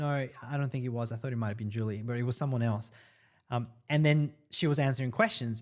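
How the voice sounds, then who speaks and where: A man talks at a fairly quick pace in an Australian accent. His pitch is medium, with ordinary variation. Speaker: online marketing influencer. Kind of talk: live stream Q&A. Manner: casual, hesitant with fillers.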